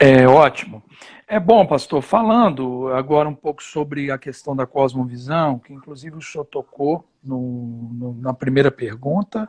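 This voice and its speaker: A man with a plain, everyday voice speaks fairly slowly at a fairly high pitch, with ordinary pitch variation, big swings in loudness, and a dry, close sound with no echo. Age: 30s. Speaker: pastor. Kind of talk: interview in a live stream. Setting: live stream during quarantine.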